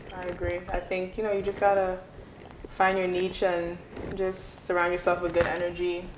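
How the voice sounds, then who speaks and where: A woman's fairly low, flat, monotone voice with an American accent at a fairly quick pace, amid noticeable background noise and audible room echo. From Guyana, then New York from age 9. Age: 20s. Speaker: academic advisor. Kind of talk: casual interview chat. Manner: calm, gentle.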